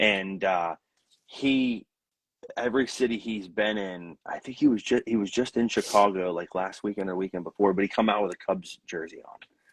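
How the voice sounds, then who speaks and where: A man with a Pittsburgh accent, fairly low in pitch with ordinary pitch variation, at a moderate pace with big swings in loudness, in a dry, close sound with no echo. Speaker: country musician. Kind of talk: casual chat. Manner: halting, many repeated words.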